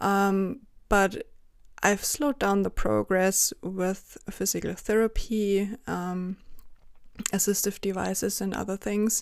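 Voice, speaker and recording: In a German accent, a woman speaks at a very slow pace and medium pitch, with fairly even intonation. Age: 30s. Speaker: freelance journalist and chronic illness advocate. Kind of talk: interview.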